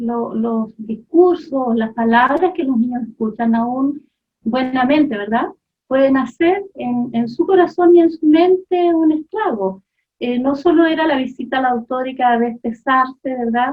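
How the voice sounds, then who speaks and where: A woman speaks in a Chilean accent at a fairly slow pace. Her high voice carries lively intonation. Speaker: mother giving testimony. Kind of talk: testimony.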